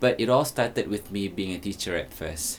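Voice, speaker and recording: With a Malaysian accent, a man talks at a fairly quick pace in a fairly low pitch, his pitch varying in an ordinary way. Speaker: teacher and influencer. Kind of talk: documentary interview; social media video. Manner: casual, with fillers.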